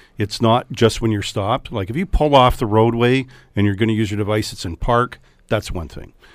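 A man with a plain, everyday voice speaks at a moderate pace and a medium pitch with ordinary pitch variation. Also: very clean recording, silent background. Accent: Canadian. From Canada, Hamilton, Ontario. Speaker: police chief. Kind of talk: radio interview. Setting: radio studio.

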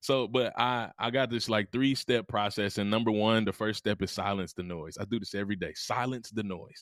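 Speaking in a Mississippi accent, a man delivers his words at a fairly quick pace with hardly any pauses and an animated tone. The recording is very clean, with a silent background and a dry, close sound with no echo. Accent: Southern US (Mississippi). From US South. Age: 30s. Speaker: motivational speaker. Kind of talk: casual interview.

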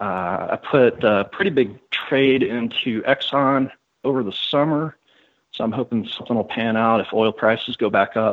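A man's medium pitch shifts in an ordinary way as he talks at a moderate pace in an ordinary speaking voice. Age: 30s. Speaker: former financial planner. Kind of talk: interview.

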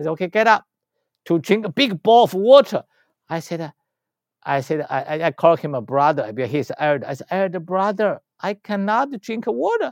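A man with a Chinese accent talks at a fairly quick pace in a high pitch. His pitch swings very widely. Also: very clean recording, silent background. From China. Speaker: spiritual healer and teacher. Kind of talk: interview. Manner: halting.

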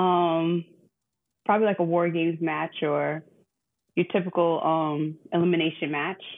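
A woman's fairly low-pitched voice. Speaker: wrestling podcast co-host. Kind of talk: casual chat. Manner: animated. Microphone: not using the new mic.

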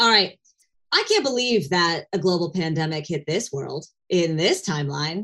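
In an American accent, a woman speaks at a moderate pace with very wide pitch swings. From United States. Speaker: comedian. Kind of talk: casual chat.

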